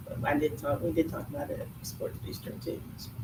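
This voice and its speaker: A woman talks quietly at a fairly quick pace. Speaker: PTO treasurer. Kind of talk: meeting report. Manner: fast.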